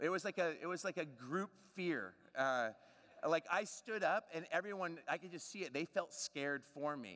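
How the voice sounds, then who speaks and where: A loud, bright, sharp tone at a moderate pace, with ordinary pitch variation and a dry, close sound with no echo. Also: man, high pitch for a man. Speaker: preacher. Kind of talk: sermon. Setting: church.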